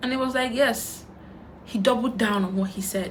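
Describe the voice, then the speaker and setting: With a Nigerian accent, a woman speaks in an animated tone at a fairly high pitch. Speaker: YouTuber. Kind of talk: storytime while doing makeup.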